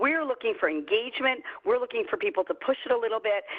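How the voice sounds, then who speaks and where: A woman with a New York accent talks at a fairly quick pace, her pitch swinging very widely. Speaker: company CEO and trainer. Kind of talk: online training webinar. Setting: video call. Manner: fast; casual.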